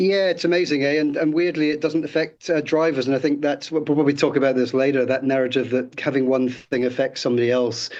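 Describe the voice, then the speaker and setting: Speaking with a British accent at a very fast pace with hardly any pauses, a man uses a fairly high pitch, very even loudness and fairly even intonation. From Britain. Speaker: city councillor. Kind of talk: radio interview. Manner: halting, many repeated words and fillers.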